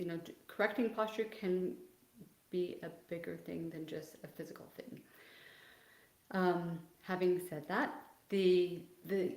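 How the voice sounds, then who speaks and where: Talking at a fairly slow pace with long, frequent pauses, a woman swings widely in loudness while audible room echo surrounds her. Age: 60s. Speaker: physical therapist. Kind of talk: livestream Q&A. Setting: video livestream.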